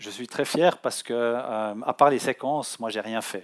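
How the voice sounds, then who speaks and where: A man talks at a very slow pace, his medium pitch showing ordinary pitch variation. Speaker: offshore sailor giving a talk. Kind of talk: public talk. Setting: conference hall with audience. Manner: halting, many hesitations.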